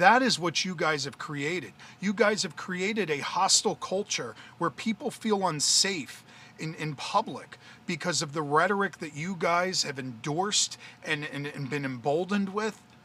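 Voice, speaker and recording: A man's loud, high voice with an American accent, animated in tone, lively in intonation, at a moderate pace. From US Northeast, central New Jersey. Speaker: political commentator, livestreamer. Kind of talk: livestream rant. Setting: live video stream.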